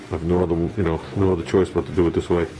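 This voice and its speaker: Over noticeable background noise, a man with a very deep, low voice talks at a very fast pace. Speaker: hobby car restorer. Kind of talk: workshop tutorial. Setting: home garage. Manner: subdued, not talkative.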